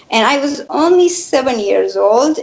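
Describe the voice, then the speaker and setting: A woman's voice over noticeable background noise. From Afghanistan. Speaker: refugee activist. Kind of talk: interview. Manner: halting.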